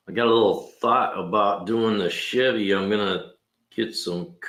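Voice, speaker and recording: Over music in the background, a man with a fairly low voice speaks at a fairly slow pace. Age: 60s. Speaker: mechanic. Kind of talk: casual livestream talk.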